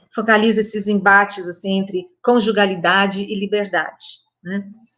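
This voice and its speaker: In a plain, everyday voice, a woman talks at a medium pitch. Her pace is fairly slow, and the background is quiet. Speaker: literature professor. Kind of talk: talk on literature.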